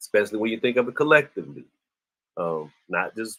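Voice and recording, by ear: A man speaks at a fairly low pitch. His tone is bright and sharp.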